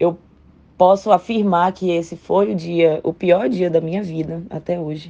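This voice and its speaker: Speaking at a fairly slow pace, a woman has a fairly low, dark, mellow voice with fairly even intonation. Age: 20s. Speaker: doctor. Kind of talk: testimony.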